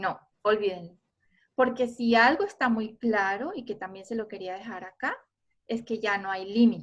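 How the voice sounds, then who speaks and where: A woman talks at a moderate pace in a normal speaking voice. Her pitch sits fairly high, with ordinary variation. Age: 50s. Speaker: photographer giving an online talk. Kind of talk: online lecture.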